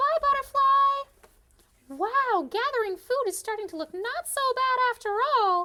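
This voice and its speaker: In a cartoonish character voice pitched extremely high, the speaker goes at a fairly slow pace with hardly any pauses. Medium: puppet.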